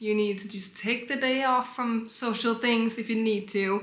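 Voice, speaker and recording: With a Danish accent, a woman speaks at a fairly high pitch in a bright, sharp tone, with audible room echo. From Denmark. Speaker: vlogger. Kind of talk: casual advice talk.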